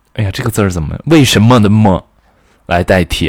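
Here a man talks. The variation in his pitch is ordinary. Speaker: podcaster. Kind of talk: casual monologue. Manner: rambling, hesitant.

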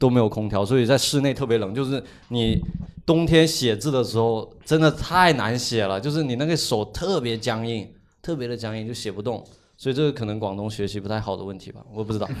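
This man has a normal speaking voice at a medium pitch. His pace is fairly quick, with ordinary pitch variation. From Guangdong, China. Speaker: podcast co-host. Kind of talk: casual chat.

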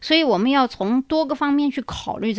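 On a very clean recording with a silent background, a woman uses a normal speaking voice with lively intonation at a moderate pace. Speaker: podcast host. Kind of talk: solo monologue. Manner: conversational, many filler particles.

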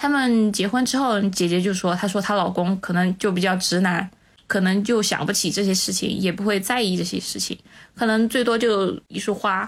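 A woman talks at a moderate pace with fairly even intonation and a medium pitch, in a normal speaking voice. The recording is very clean, with a silent background. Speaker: civil servant. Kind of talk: casual chat.

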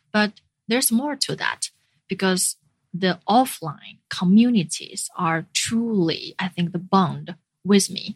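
Somewhat breathy speech in a Chinese accent comes at a very slow pace with ordinary pitch variation. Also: woman, medium pitch for a woman. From northern China (Jinan). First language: Mandarin Chinese. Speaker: startup community founder and CEO. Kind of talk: interview.

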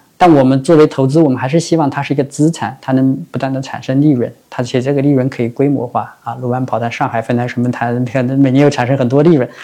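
A man at a medium pitch talks at a very fast pace, with hardly any pauses. His tone is dark and mellow, and his intonation fairly even. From Shanghai, Chongming Island. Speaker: venture capital investor. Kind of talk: interview. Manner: hesitant, many filler sounds.

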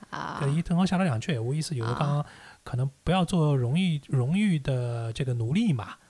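A man speaks with a Shanghainese accent at a fairly quick pace. His pitch is fairly high and his intonation lively. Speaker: podcast host. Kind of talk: casual chat.

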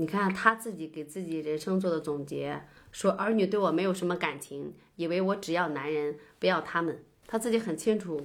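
In an ordinary speaking voice, a woman talks at a moderate pace with a fairly low pitch and ordinary pitch variation. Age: 30s. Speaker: teacher. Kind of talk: casual book discussion.

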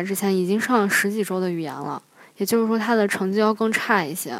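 Speaking at a medium pitch with ordinary pitch variation, a woman uses an ordinary speaking voice. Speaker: international graduate student. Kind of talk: personal storytelling.

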